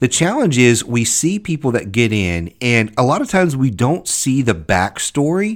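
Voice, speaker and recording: Hardly pausing, a man with an American accent speaks at a moderate pace and a medium pitch with very wide swings, his loudness very even on a very clean recording with a silent background. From US South, Louisiana. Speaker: podcast host, government contracting consultant. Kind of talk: solo podcast monologue.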